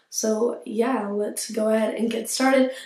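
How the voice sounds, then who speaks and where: A woman talks amid noticeable background noise, with room echo clearly audible. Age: young. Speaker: lifestyle youtuber. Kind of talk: casual vlog talk to camera.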